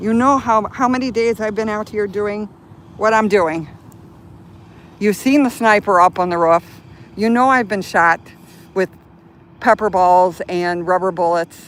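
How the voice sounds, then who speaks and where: A medium-pitched woman with an American accent, fairly slow pace, ordinary pitch variation and long, frequent pauses. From Chicago, US Midwest. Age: 60s. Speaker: live streamer. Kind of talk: live stream commentary. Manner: flustered, agitated.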